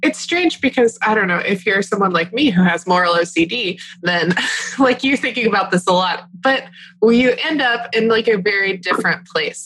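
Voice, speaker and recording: In an American accent, a woman speaks with lively intonation and very even loudness over noticeable background noise. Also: medium pitch for a woman, moderate pace. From Texas. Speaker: podcast co-host. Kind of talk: casual chat.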